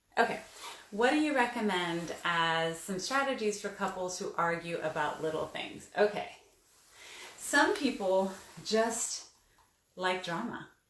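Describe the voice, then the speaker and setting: A woman speaks fairly slowly in a medium pitch, with lively intonation and long, frequent pauses. Room echo is audible. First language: Spanish. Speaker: relationship therapist. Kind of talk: live stream Q&A. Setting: live video stream. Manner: conversational.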